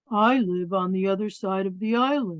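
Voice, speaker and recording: A woman's put-on character voice at medium pitch and moderate pace. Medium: read story. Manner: slow, reproachful.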